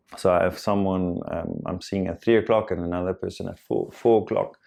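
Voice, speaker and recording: In a South African accent, a man speaks at a moderate pace. His pitch is fairly low and his intonation fairly even. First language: Afrikaans. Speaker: self-help vlogger. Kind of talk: personal reflective monologue. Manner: halting, many fillers and repetitions.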